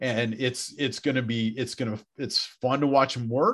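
A man's normal speaking voice at medium pitch, with an American accent, fairly even intonation and a quiet background. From Wisconsin, Beloit. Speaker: high school principal. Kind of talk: casual interview chat.

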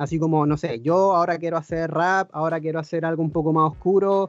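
A man with a Chilean accent and a fairly high pitch rattles along at a very fast pace in a monotone, flat delivery. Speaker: podcast host. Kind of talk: casual interview.

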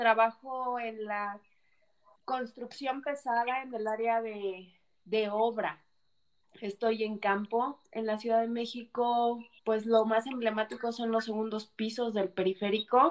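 Very slowly, a woman speaks at a fairly high pitch with fairly even intonation. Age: 30s. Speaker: civil engineer. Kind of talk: interview testimony.

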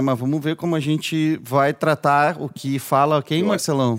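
With a plain, everyday voice, a man speaks at a moderate pace in a fairly high pitch on a very clean recording with a silent background. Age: 40s. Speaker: podcast host. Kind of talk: casual interview. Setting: studio.

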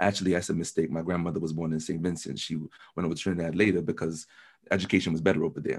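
At a very fast pace, a man speaks with a very deep, low pitch and an American accent. His intonation is monotone and flat against a quiet background. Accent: American-sounding English. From London. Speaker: university student. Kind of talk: casual interview.

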